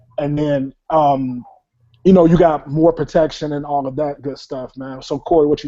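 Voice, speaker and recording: In an American accent, a man with a normal speaking voice talks at a moderate pace, his fairly high voice carrying fairly even intonation and big swings in loudness. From Chicago, US. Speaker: talk show host. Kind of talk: casual discussion show. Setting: online hangout call-in show.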